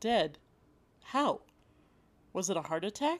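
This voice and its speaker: Very slowly, a woman speaks on a very clean recording with a silent background. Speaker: podcast host. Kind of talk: cozy mystery narration, read as a second-person story. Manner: hushed, suspenseful storyteller.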